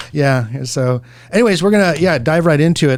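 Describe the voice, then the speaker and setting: A man with an American accent in a normal speaking voice, fairly quick in pace, with ordinary pitch variation. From Southern California. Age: 50s. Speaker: real estate agent and radio show host. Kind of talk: radio show conversation.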